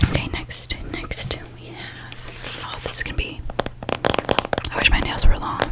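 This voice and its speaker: A woman whispering at a fairly slow pace, long, frequent pauses, noticeable background noise. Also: big swings in loudness. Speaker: ASMR creator. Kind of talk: casual ASMR talk to camera. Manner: whispered.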